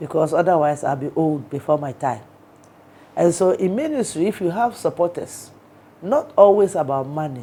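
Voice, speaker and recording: Her voice is dark and mellow, fairly low in pitch for a woman. She speaks at a moderate pace with lively intonation. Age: 60s. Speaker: archbishop. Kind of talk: interview.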